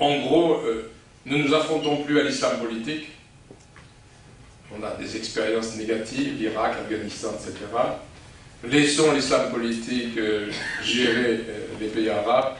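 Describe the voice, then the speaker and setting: With noticeable background noise and audible room echo, a man at a medium pitch talks at a fairly slow pace, using ordinary pitch variation and long, frequent pauses. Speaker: international law scholar, conference speaker. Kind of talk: lecture. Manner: hesitant, many fillers.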